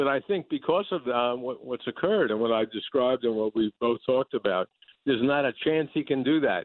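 This man has a normal speaking voice with an American accent. His pitch is medium, and his pitch variation is ordinary. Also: fairly quick pace. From New York City, the Bronx. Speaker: political journalist. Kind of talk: interview.

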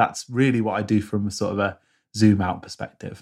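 Medium pitch, moderate pace and ordinary pitch variation from a man with a British accent, in a very clean recording with a silent background. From rural UK. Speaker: productivity YouTuber and app maker. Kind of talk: casual interview chat.

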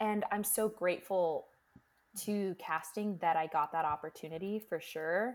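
A woman's medium-pitched voice at a fairly slow pace, with long, frequent pauses, ordinary pitch variation and very even loudness. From Florida, US (born New York, moved at six). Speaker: Broadway actress and singer. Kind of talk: casual chat. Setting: video call.

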